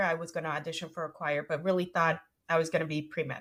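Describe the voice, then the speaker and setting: A woman speaks with a Spanish accent on a very clean recording with a silent background. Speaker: music educator and entrepreneur. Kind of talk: interview.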